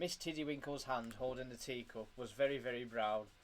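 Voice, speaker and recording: The speaker has a British accent and fairly even intonation. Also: man. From UK. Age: 20s. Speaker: father reading to his child. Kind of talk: reading aloud.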